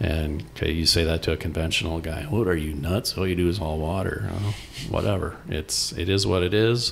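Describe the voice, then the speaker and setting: A man with an American accent speaks in a very deep, low voice that is somewhat breathy. His pitch varies in an ordinary way. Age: 60s. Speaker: organic hay farmer. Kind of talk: interview. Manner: casual, with fillers.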